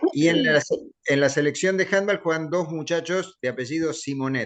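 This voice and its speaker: This man speaks at a fairly quick pace. His pitch varies an ordinary amount. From Argentina. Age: 60s. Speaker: sports journalist and writer. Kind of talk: interview. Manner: halting.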